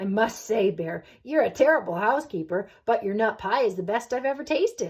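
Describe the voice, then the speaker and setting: A woman's put-on character voice, fairly high-pitched, at a moderate pace with hardly any pauses. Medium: read story. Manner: prim, particular.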